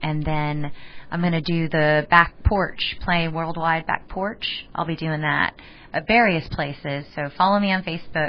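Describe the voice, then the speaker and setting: At a fairly slow pace, a woman speaks with fairly even intonation and a fairly low pitch. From Texas. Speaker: musician. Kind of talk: radio interview. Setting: radio studio. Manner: loud.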